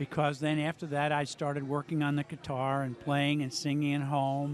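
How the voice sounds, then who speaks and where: The pitch of this man's voice is fairly high. He delivers his words in a flat monotone. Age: 60s. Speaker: amateur singer and guitarist. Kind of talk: casual interview. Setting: restaurant during live music event.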